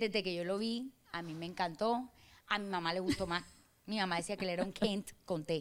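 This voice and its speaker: A woman's animated voice, bright and sharp in tone, at medium pitch with lively intonation. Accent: Barranquilla. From Colombian Caribbean coast, Barranquilla. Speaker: influencer, former carnival queen. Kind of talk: casual interview. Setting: restaurant in a hotel.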